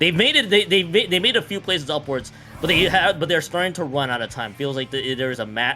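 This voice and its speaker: Background music under very fast male speech. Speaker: esports commentator. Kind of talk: live commentary. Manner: fast, repetitive stammering.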